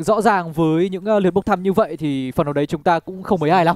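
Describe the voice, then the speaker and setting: A man with a high-pitched voice talks very fast with lively intonation, the sound dry with no echo. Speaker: esports commentator. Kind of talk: live commentary. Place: studio. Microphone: handheld.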